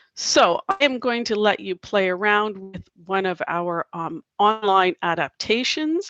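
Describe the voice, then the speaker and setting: With lively intonation and a fairly high pitch, a woman speaks in an ordinary speaking voice. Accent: Canadian. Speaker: teacher presenting a workshop. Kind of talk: online workshop presentation.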